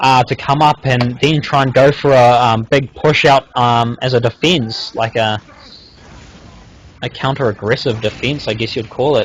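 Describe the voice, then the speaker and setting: Somewhat breathy, a man talks at a moderate pace. His pitch is medium for a man, with fairly even intonation. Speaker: game commentator. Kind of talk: live commentary. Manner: halting, many fillers.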